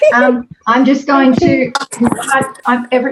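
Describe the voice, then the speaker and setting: A high-pitched woman at a fairly slow pace, with noticeable background noise. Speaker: styling masterclass host. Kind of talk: casual chat. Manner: hesitant, many fillers; whispering.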